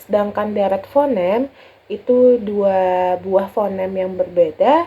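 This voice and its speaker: At a very slow pace, a woman talks in a medium-pitched voice. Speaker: university student. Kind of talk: class presentation. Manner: explanatory, steady.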